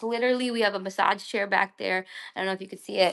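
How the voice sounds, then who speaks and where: A normal speaking voice from a woman at medium pitch, ordinary pitch variation, and a quiet background. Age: 30s. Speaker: creator and community space organizer. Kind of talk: casual live-stream chat. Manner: casual, filler-heavy with many restarts.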